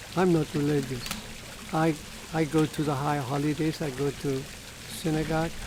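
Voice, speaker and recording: Against noticeable background noise, the voice moves at a moderate pace with monotone, flat intonation. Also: man, fairly high pitch for a man. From Germany, Berlin. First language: German. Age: 90s. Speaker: Holocaust-era refugee telling life story. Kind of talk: oral history testimony. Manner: halting.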